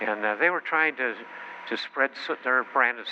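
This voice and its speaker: This is a man talking. Background noise is noticeable behind him. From Chicago, US Midwest. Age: 90s. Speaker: company founder and political speaker. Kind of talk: political speech. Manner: halting, many fillers.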